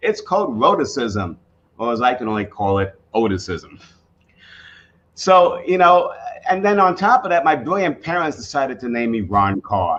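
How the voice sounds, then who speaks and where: Speaking at a moderate pace with a slight New York accent, a man lets his pitch swing very widely. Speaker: professional speaker and author. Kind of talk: storytelling speech.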